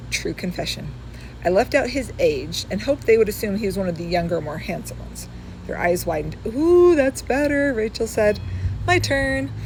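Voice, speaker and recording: A woman with an American accent talks at a moderate pace. Noticeable background noise is audible. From California. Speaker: author. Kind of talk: reading aloud. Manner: casual asides.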